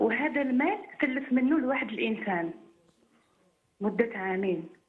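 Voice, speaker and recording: A woman with an Algerian accent speaks at a fairly slow pace. Her high voice makes very wide pitch swings. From Algeria, Boumerdes. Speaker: caller. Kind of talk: phone-in question. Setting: phone call. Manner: halting.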